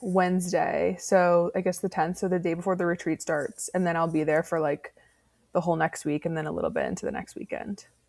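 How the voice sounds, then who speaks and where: Here a woman speaks with an American accent at a fairly quick pace. She has a plain, everyday voice. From Georgia, US South. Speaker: podcast host. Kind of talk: casual chat.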